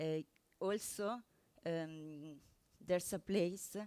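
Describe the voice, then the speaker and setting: A woman's dark, mellow voice with an Italian accent and fairly even intonation. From Italy. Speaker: software developer. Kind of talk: conference talk. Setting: stage with audience. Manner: halting, many fillers.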